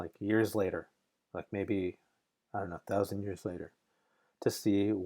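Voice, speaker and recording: A fairly low-pitched man with a dark, mellow tone, speaking at a fairly slow pace in a monotone, flat intonation. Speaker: creature designer. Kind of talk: casual talk about own artwork.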